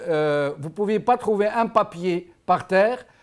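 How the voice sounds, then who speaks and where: With ordinary pitch variation, a man delivers his words very slowly. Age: 60s. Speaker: call-in show host. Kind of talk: call-in radio/TV discussion.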